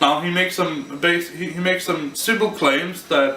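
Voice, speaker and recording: A man mumbles at a fairly slow pace with a non-native accent and ordinary pitch variation. There is noticeable background noise. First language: not English. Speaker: amateur physics explainer. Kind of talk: informal physics lecture to camera. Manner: mumbling, hesitant, unscripted.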